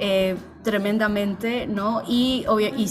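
Music plays in the background and the room echo is audible. A woman speaks at a medium pitch. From Peru. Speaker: writer and translator. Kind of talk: interview.

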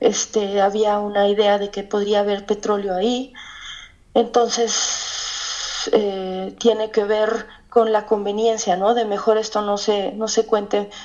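A woman at medium pitch and fairly slow pace amid noticeable background noise. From Mexico, Hidalgo. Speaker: novelist. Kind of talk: interview. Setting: phone call.

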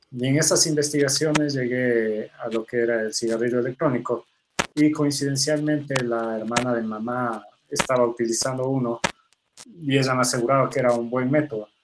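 This man has a plain, everyday voice at a medium pitch, talking at a middling speed with fairly level intonation. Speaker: doctor and vaping activist. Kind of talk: interview.

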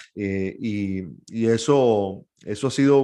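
A man speaks in a Venezuelan accent with ordinary pitch variation. The background is quiet. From Venezuela, San Antonio de los Altos (Miranda). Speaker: sports journalist. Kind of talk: interview conversation.

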